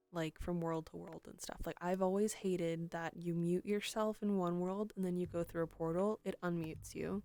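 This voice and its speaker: A woman speaks in a fairly low pitch with monotone, flat intonation. Music plays in the background. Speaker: streamer. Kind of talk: casual chat. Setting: live stream. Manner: soft-spoken; halting.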